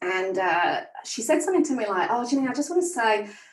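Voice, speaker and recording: Speaking at a fairly quick pace, a woman with a northern English accent has a fairly high pitch and very wide pitch swings. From northern England. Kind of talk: podcast interview. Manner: animated.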